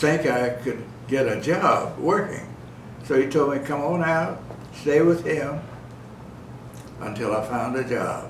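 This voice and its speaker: A fairly high-pitched man talks at a fairly slow pace with ordinary pitch variation, taking long, frequent pauses against noticeable background noise. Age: 80s+. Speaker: centenarian and army veteran. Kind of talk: interview answer. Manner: spry, funny.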